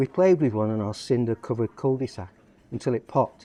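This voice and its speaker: In a Lancashire accent, a man at medium pitch talks at a fairly quick pace with a dark, mellow tone, the sound dry and close with no echo. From northern England, Lancashire (Blackpool, Lancaster). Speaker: poet and football fan. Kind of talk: reading aloud. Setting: cafe.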